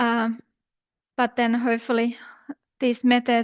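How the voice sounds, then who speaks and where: This woman's voice sits fairly high and moves at a moderate pace. The sound is dry and close with no echo, over a quiet background. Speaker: river researcher. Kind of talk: scientific talk.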